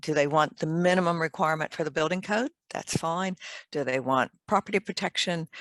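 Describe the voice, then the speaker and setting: With an American accent, a woman uses an unremarkable speaking voice at a fairly low pitch and ordinary pitch variation, recorded dry and close with no echo. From US, Maryland. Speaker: fire engineer, company director. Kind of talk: interview.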